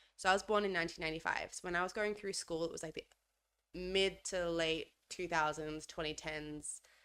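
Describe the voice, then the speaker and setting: Speaking with an Australian accent at a fairly quick pace, a woman has a fairly low pitch, a bright, sharp tone and fairly even intonation, captured on a very clean recording with a silent background. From Australia, Adelaide. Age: 20s. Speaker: podcast co-host. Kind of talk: casual chat.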